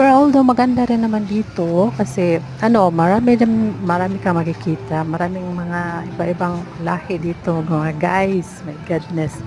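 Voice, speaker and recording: Over music in the background, a woman with a fairly low voice speaks at a moderate pace with lively intonation. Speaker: travel vlogger. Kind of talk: travel vlog narration. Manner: hesitant, many fillers.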